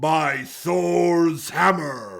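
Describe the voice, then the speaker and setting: A man puts on a raspy character voice at a medium pitch. His pitch swings very widely. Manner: dramatic voiceover.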